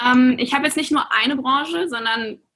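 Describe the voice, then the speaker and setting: Here a woman speaks in a high pitch. Her pitch varies in an ordinary way. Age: 20s. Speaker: influencer and social media coach. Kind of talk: podcast interview.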